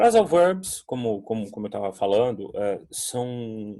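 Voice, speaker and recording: This man speaks with lively intonation. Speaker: English teacher. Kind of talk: online class. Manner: casual, hesitant.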